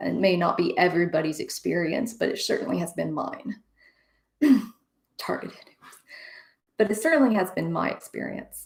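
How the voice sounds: Putting on a character voice, a woman talks at a fairly quick pace in a raspy, croaky, hoarse tone, with long, frequent pauses.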